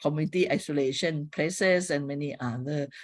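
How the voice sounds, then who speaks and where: Someone with a Thai accent speaks at a moderate pace in a very clean recording with a silent background. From Thailand. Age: 60s. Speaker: public health professor. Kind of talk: lecture. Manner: halting.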